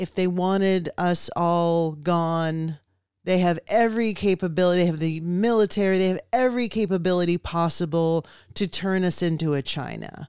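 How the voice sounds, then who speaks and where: Captured in a very clean recording with a silent background, a woman with a normal speaking voice and fairly low pitch speaks at a fairly slow pace with fairly even intonation. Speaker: podcast co-host. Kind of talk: casual conversation.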